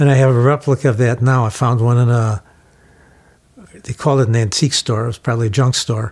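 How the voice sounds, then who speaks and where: Moderately paced speech from a man with an American accent. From Chicago, Illinois. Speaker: photographer. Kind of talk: interview answer.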